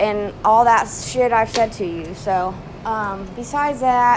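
Noticeable background noise sits behind a woman whose animated tone shows ordinary pitch variation. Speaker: vlogger. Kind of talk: casual monologue.

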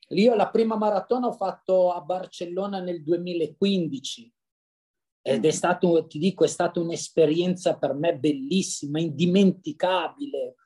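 A man with a high pitch and a dark, mellow tone speaks at a fairly slow pace with ordinary pitch variation. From Lombardy, northern Italy (Brianza). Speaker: amateur runner and massage therapist. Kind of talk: casual interview chat. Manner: cheerful, lively.

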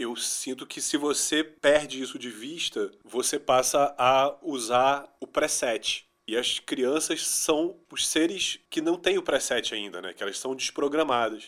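A man at a very slow pace, hardly any pauses, and ordinary pitch variation. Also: fairly high pitch for a man. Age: 40s. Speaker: musician and music producer. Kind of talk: interview.

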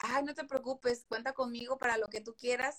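A woman with a slight Veracruz accent talks at a moderate pace. Her high voice stays monotone and flat. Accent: faint Veracruz accent, rarely noticed. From Veracruz port, Mexico. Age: 20s. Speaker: host's best friend. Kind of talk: casual live chat.

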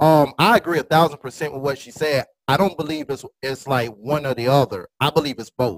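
Talking at a fairly quick pace with hardly any pauses, a man with a fairly high voice shows big swings in loudness and ordinary pitch variation. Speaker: podcast host. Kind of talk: roundtable discussion. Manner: energetic.

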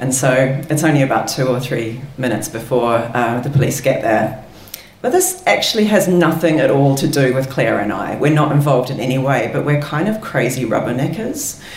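Over noticeable background noise, a woman talks at a moderate pace in a very deep, low pitch with ordinary pitch variation. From London, England. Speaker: storyteller. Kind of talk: live storytelling. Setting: stage with audience.

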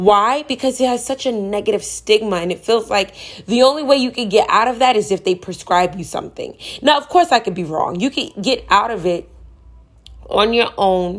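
Speaking at a moderate pace, a woman uses a fairly high pitch and an animated tone. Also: lively intonation. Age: 20s. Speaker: spiritual wellness podcaster. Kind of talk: casual monologue.

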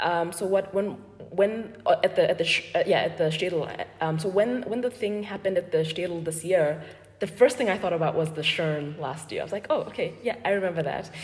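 Over noticeable background noise, a woman with a medium pitch speaks at a fairly quick pace with ordinary pitch variation. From Botswana. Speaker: sociologist and gallery owner. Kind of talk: interview conversation. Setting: gallery, in person. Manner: hesitant, many fillers.

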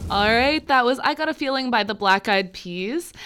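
A woman speaks in an ordinary speaking voice. Her pace is moderate. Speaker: radio host. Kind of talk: casual radio banter. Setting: studio. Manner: bubbly, chatty, laughs often.

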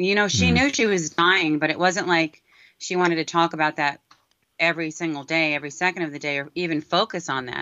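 A woman with an American accent talks at a fairly quick pace in a plain, everyday voice, fairly low in pitch, with ordinary pitch variation. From New York City (Brooklyn/Queens). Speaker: filmmaker and former worship singer. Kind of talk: interview.

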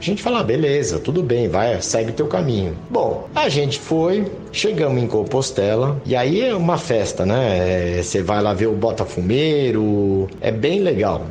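Over noticeable background noise and audible room echo, a man of medium pitch speaks at a fairly slow pace with hardly any pauses, very even loudness and very wide pitch swings. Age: 50s. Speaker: tennis coach. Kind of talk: interview.

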